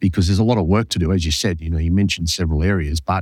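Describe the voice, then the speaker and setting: A man with an Australian accent, his pitch very deep and low, with ordinary variation. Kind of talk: interview. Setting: remote call.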